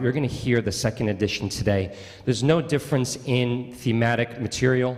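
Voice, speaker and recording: With a Long Island accent, a man talks at a medium pitch. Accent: Long Island New York. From Long Island, New York. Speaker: bassoonist. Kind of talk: spoken introduction at a concert. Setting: church concert with audience. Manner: conversational, with frequent fillers.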